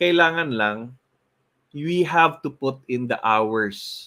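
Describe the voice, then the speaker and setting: A man with a Filipino accent, bright and sharp in tone, very slow, with very wide pitch swings. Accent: Cebuano-accented English. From Philippines, Cebu. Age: 40s. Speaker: motivational show host. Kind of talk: motivational talk in Taglish.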